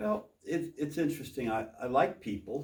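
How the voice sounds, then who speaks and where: Somewhat breathy, this man talks with an American accent. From Texas. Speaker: copier salesperson. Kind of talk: casual interview. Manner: halting, repeats words.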